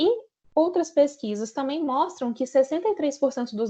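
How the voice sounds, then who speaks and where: Woman's voice at a moderate pace, lively in intonation. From Brazil, Minas Gerais. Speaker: account manager presenting training. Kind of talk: training presentation. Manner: conversational, frequent fillers.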